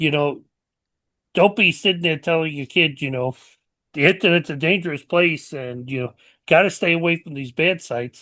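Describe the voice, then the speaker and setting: In a New York accent, the speaker talks at a moderate pace with ordinary pitch variation, big swings in loudness, and long, frequent pauses. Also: man, fairly high pitch for a man. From New York City. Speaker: podcast host. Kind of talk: closing remarks to audience; casual chat. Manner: hesitant, repeats words.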